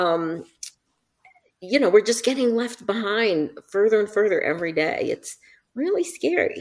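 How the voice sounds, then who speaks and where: A woman speaks at a moderate pace in a medium pitch, her pitch varying in an ordinary way. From US Northeast, Massachusetts. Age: 60s. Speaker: novelist and former intelligence analyst. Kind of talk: casual interview conversation. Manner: animated.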